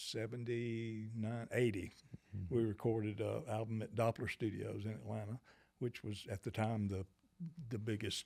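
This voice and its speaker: The man has a Southern US accent and a fairly low pitch, delivered in a monotone, flat intonation. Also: moderate pace. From US South, Georgia (Monroe). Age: 70s. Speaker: musician. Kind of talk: interview. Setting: studio. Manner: halting, many fillers.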